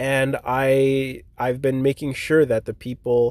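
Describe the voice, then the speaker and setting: This is a man with a Canadian accent. His tone is dark and mellow. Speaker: ball hockey league founder and podcast host. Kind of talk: solo podcast update. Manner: monotone; casual, filler-heavy.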